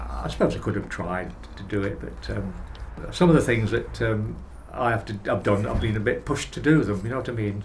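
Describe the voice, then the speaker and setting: A man talks with lively intonation. There is audible room echo. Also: fairly low pitch for a man, fairly quick pace. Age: 80s+. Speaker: older person receiving home care service. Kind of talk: documentary interview. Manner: halting.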